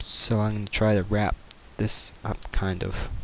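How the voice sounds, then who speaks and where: Fairly low in pitch, a man speaks with fairly even intonation as noticeable background noise plays. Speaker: video game modding tutorial maker. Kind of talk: screen-recorded tutorial. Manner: casual, filler-heavy.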